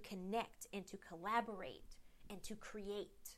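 A woman with an unremarkable speaking voice talks at a fairly slow pace, her pitch sitting in the medium range. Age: 40s. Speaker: podcast host and leadership coach. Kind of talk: solo motivational talk.

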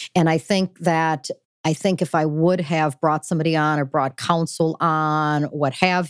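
A woman with an American accent speaks with a very deep, low pitch and fairly even intonation. The recording is very clean, with a silent background and a dry, close sound with no echo. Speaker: business executive. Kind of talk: interview conversation. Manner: fast talker.

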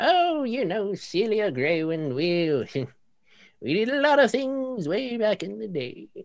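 Using a put-on character voice at a medium pitch, a woman talks at a very slow pace with hardly any pauses and very wide pitch swings against a quiet background. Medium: actual play. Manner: folksy, sly.

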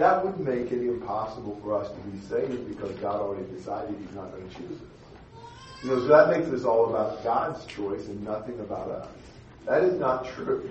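A man at medium pitch with lively intonation, fairly quick, loudness swinging widely, with audible room echo and noticeable background noise. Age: 60s. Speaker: Bible class teacher. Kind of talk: Bible class discussion.

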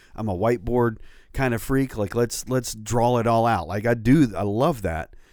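A plain, everyday voice comes from a man at medium pitch with ordinary pitch variation. He keeps a moderate pace on a very clean recording with a silent background. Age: 40s. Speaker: podcast co-host and campus pastor. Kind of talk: casual chat. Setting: studio.

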